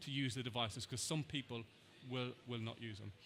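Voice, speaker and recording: With an Irish accent, a man rushes along at a very fast pace in a bright, sharp tone. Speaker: NHS trust digital health lead. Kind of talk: conference Q&A. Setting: conference stage with audience, headset mic. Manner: repetitive false starts.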